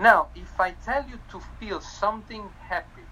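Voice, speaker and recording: A man speaks with an Italian accent. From Italy. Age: 40s. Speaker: magician and mentalist. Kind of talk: interview with tips.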